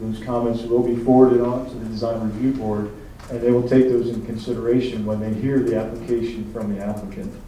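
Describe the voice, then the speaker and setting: Speaking in a flat monotone at medium pitch, a man is heard with audible room echo and noticeable background noise. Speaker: town planning official. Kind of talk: public meeting comment response. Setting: town council meeting.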